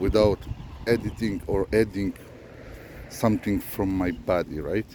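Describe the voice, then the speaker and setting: Here a man speaks at a fairly slow pace. His pitch variation is ordinary. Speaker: spiritual vlogger. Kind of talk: unscripted monologue. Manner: slow, deliberate; halting, many fillers.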